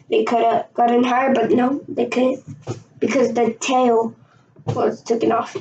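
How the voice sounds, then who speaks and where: A woman speaks with a high pitch and ordinary pitch variation. Her loudness stays very even, and her pace is fairly slow. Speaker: amateur video creator explaining plane crashes. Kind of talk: casual explainer. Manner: rambling, hesitant delivery with fillers; halting, stumbling over words.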